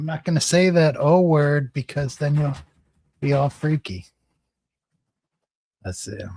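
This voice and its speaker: A man speaks in a dark, mellow tone that is somewhat breathy, with ordinary pitch variation. Long, frequent pauses break it up, and the sound is dry and close with no echo. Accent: American. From US Midwest, Peoria, Illinois. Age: 60s. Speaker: live streamer, former lawyer. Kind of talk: casual livestream chat reading comments. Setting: live stream. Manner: rambling, conversational.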